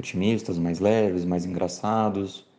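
A man speaks in a very deep, low voice with a dark, mellow tone and monotone, flat intonation against a quiet background. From São Paulo interior, São José do Rio Preto. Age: 30s. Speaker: writer. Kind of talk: interview.

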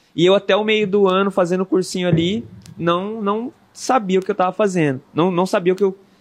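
The man's pitch is high. He speaks at a moderate pace. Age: 30s. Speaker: activist and former political candidate. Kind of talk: casual interview, street slang.

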